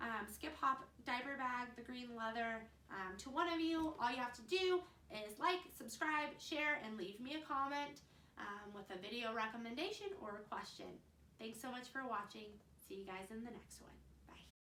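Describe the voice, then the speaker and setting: A high-pitched woman at a moderate pace, lively in intonation, with big swings in loudness and audible room echo. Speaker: mom vlogger. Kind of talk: casual vlog advice. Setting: at home.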